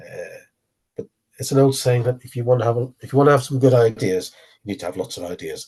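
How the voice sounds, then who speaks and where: Somewhat breathy and dark, mellow in tone, a man talks at a very fast pace. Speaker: business network organiser presenting a programme. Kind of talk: webinar presentation with Q&A. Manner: halting, many fillers.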